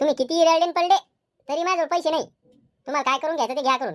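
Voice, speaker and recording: Squeaky and high-pitched, a woman does a cartoonish character voice at a very fast pace with ordinary pitch variation. The recording is dry and close, with no echo. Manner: brash, quarrelsome.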